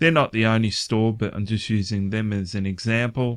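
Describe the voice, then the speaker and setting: A man speaks with a fairly low pitch in a monotone, flat intonation. The sound is dry and close with no echo, in a very clean recording with a silent background. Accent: Australian. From Australia. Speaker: online finance vlogger. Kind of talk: casual vlog commentary. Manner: halting, many filler words.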